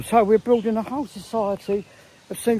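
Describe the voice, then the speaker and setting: A man speaks with an English accent at a moderate pace. His pitch is high, and there is noticeable background noise. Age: 80s+. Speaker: vlogger. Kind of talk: casual monologue. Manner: halting.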